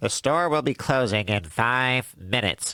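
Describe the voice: Putting on a character voice, a man talks at a moderate pace. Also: medium pitch for a man.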